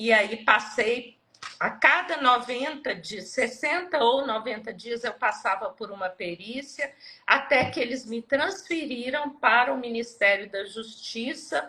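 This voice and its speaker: A woman speaks at a very slow pace in a high voice with lively intonation. Her tone is bright and sharp, and her loudness swings widely. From Minas Gerais, Brazil. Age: 60s. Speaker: retired civil servant, Lyme disease patient. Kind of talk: personal testimony in live interview.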